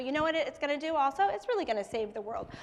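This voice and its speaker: Noticeable background noise sits behind a woman's high voice. Her pitch swings very widely. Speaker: startup founder and children's book author. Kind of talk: pitch presentation. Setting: stage with live audience. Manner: fast.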